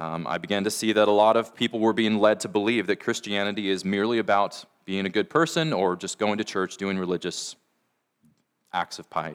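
An ordinary speaking voice with an American accent and ordinary pitch variation comes through a very clean recording with a silent background and a dry, close sound with no echo. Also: man, fairly low pitch for a man, fairly quick pace. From US Pacific Northwest (Washington). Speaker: pastor. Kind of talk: sermon.

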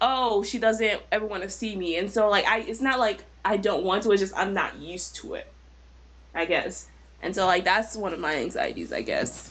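A woman with an American accent talks at a moderate pace, her pitch medium. Her voice has vocal fry and ordinary pitch variation. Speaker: podcast co-host. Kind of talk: casual group chat about anxiety. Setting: live stream with chat.

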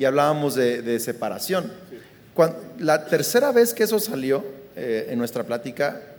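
With lively intonation and a fairly high pitch, a man talks at a moderate pace amid audible room echo. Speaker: pastor. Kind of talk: live podcast conversation. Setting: live recording at a conference.

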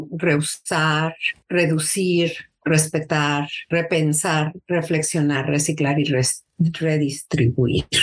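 A woman speaks with a Mexico City accent at a fairly low pitch. Her pace is very slow. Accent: Mexican Spanish (Mexico City). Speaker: early childhood educator and teacher coach. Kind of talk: interview.

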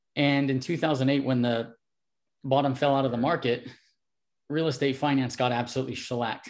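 Speaking at a fairly quick pace with an American accent, a man at medium pitch keeps a monotone, flat intonation broken by long, frequent pauses. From California dairy country, US. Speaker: personal trainer and fitness expert. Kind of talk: interview.

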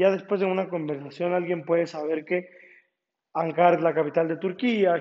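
A man is speaking. His voice is high in pitch. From Ecuador, Ambato. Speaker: law student. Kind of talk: project presentation. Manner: halting, frequent repetitions.

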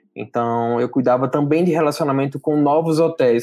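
A man speaks in a normal speaking voice at a fairly quick pace. His intonation is fairly even. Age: 20s. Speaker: hospitality entrepreneur. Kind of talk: casual interview.

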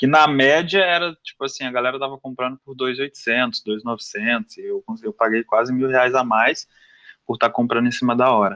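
At a moderate pace, a man speaks with a medium pitch, ordinary pitch variation and a bright, sharp tone in a dry, close sound with no echo. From Minas Gerais, Brazil (Belo Horizonte, Sete Lagoas). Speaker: jiu-jitsu athlete. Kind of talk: casual interview chat.

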